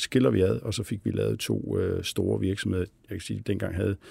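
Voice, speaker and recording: A man with a fairly low pitch and dark, mellow tone talks at a fairly quick pace, showing vocal fry and ordinary pitch variation. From Denmark, Billund (Jutland). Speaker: company CEO. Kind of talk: interview. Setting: studio. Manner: halting, many fillers.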